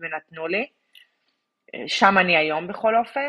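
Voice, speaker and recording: A woman has a normal speaking voice at a medium pitch. She keeps a moderate pace with ordinary pitch variation. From Israel. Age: 30s. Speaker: immigrant mother sharing her story. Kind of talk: personal story interview.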